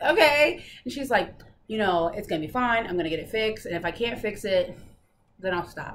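A woman at a very fast pace, her pitch swinging very widely, over light background noise. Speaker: stitching hobby vlogger. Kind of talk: casual vlog chat. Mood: playful, laughing. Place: home room. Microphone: camera far.

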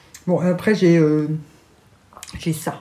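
Somewhat breathy, a woman's voice moves along at a fairly slow speed. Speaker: lifestyle vlogger. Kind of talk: casual vlog chat. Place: home room.

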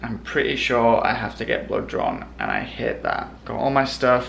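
Over light background noise, a man with a northern English accent speaks at a moderate pace. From Northern England. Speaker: vlogger. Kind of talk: casual vlog. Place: kitchen. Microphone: phone near.

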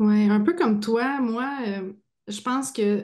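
The pace is very slow. The background is quiet. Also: woman. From Quebec. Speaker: podcast host. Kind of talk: casual chat. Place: home room. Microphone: video call.

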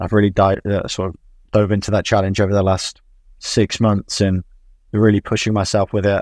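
The speaker has an English accent and a monotone, flat intonation. The sound is dry with no echo, over a quiet background. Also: man. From England. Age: 20s. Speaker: football coach. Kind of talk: interview. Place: home room. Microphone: earbuds.

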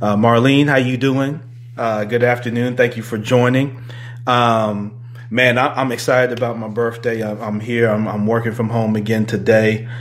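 A man speaks in a monotone, flat intonation. His pace is moderate. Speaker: podcast host. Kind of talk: casual podcast chat greeting live viewers. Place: home room.

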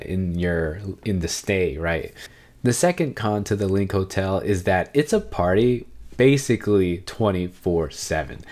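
A man's fairly low voice over a quiet background. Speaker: travel vlogger. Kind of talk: casual vlog chat. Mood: upbeat, smiling. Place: home room.

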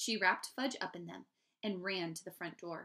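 An unforced reading voice, with ordinary pitch variation, comes through over a quiet background.

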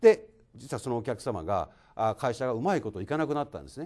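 A man talks at a very fast pace in a medium pitch with a dark, mellow tone. The background is quiet. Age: 50s. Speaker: construction company president. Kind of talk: lecture. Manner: formal. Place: hall. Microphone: handheld.

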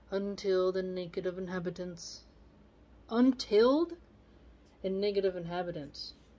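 Her tone is dark and mellow. The woman speaks at a fairly slow pace. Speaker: video channel host reading poetry aloud. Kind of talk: literary poem reading aloud with casual commentary. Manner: measured, formal reading of archaic verse. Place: home room. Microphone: phone near.

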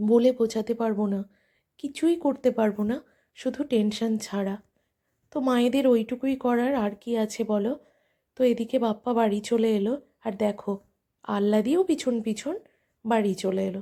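Her dark, mellow voice sits fairly high for a woman, with ordinary pitch variation. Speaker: vlogger. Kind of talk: casual vlog narration. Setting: at home.

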